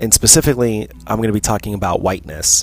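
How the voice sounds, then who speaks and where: In an American accent, a man talks with an unremarkable speaking voice, fairly low in pitch, with ordinary pitch variation. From United States. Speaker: podcast host. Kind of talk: solo monologue podcast.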